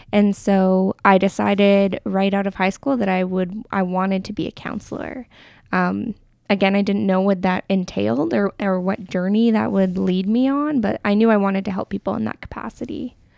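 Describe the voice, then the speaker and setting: Speaking with a Canadian accent, a woman has an unremarkable speaking voice, a medium pitch, ordinary pitch variation and a moderate pace. The recording is very clean with a silent background and a dry, close sound with no echo. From Alberta, Canada (Crowsnest Pass, Medicine Hat). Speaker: counsellor. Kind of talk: casual interview.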